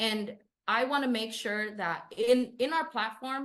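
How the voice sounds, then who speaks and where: A woman with a slight Spanish accent against a quiet background. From Southern California, Inland Empire. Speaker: city council candidate, union organizer. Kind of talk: interview.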